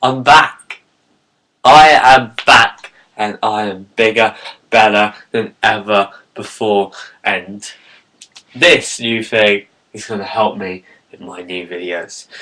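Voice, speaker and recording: Very slow and full of long, frequent pauses, a man's speech in a British accent shows big swings in loudness. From Britain. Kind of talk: casual talk to camera.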